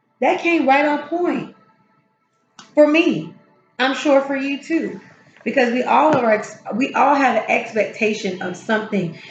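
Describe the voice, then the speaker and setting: A woman speaks in a high voice with lively intonation, with music in the background and audible room echo. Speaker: tarot reader. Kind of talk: spiritual encouragement talk. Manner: casual, halting with fillers.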